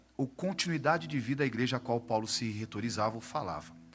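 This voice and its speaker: Over music in the background, a man speaks with lively intonation. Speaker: pastor. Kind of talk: sermon. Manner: animated.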